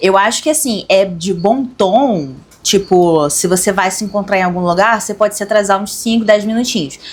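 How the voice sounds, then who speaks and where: A woman speaks in a Carioca accent. Her pitch varies in an ordinary way. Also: medium pitch for a woman, moderate pace. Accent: carioca Brazilian Portuguese. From Rio de Janeiro, Brazil. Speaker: occultism channel co-host. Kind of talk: casual discussion.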